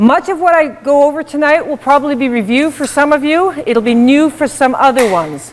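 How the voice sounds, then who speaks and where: At a fairly quick pace with hardly any pauses, the speaker shows ordinary pitch variation against noticeable background noise. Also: woman, high pitch for a woman. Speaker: workshop instructor. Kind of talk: workshop presentation. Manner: loud.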